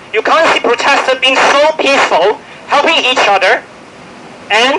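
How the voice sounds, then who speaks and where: Noticeable background noise sits under the voice. The delivery keeps a moderate pace. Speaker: finance worker speaking at protest press conference. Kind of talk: press conference statement. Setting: press conference. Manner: impassioned, urging.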